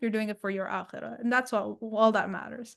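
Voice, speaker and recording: A woman with a non-native accent talks at a fairly quick pace. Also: quiet background. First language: not English. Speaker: author and purpose coach. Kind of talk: interview. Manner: halting.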